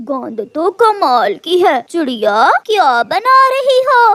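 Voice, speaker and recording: This is a cartoonish character voice at an extremely high pitch with very wide pitch swings. The pace is very slow. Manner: pushy, self-serving.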